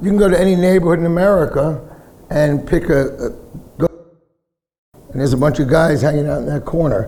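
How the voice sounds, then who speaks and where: With a New York accent, the speaker talks at a fairly quick pace, leaving long, frequent pauses, and the room echo is audible. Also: man, fairly high pitch for a man, ordinary pitch variation. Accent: New York (Bronx). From US Northeast (Bronx, New York City). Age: 60s. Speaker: punk singer. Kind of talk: casual interview on stage. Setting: bar with live audience.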